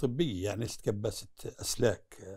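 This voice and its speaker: With very wide pitch swings, a man's voice moves at a fairly slow pace against a quiet background. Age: 70s. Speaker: former prisoner. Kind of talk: interview. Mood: earnest, recounting prison hardship. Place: home room. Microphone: lapel.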